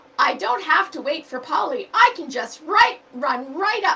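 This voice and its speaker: Putting on a character voice, a woman speaks at an extremely high pitch and a moderate pace, with very wide pitch swings and big swings in loudness. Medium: read story. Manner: energetic, eager.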